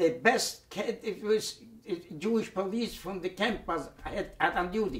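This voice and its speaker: A man speaks at a fairly slow pace. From Poland, Radomsko. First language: Yiddish. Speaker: Holocaust survivor. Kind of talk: oral history testimony. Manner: halting, repetitive.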